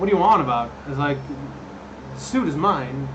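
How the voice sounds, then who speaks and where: A man's fairly high voice at a fairly quick pace, ordinary pitch variation, audible room echo and noticeable background noise. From Netherlands. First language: Dutch. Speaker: cosplay prop maker and streamer. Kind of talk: live stream chat. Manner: casual, many fillers and restarts.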